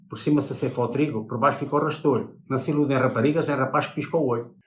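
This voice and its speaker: Noticeable background noise runs under a man talking at a very fast pace, his voice fairly high with ordinary pitch variation. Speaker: elderly villager. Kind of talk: interview.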